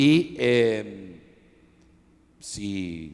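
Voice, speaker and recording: A man's fairly low-pitched voice with an Argentine accent. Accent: Argentine Spanish (Rioplatense). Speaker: historian interviewing author. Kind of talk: book presentation discussion. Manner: halting, many fillers.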